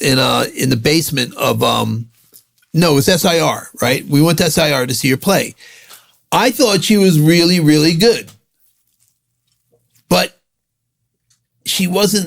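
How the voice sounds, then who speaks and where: With vocal fry and lively intonation, a man talks at a fairly slow pace, leaving long, frequent pauses. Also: fairly high pitch for a man. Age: 60s. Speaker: music industry executive. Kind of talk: podcast interview. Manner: halting, many fillers.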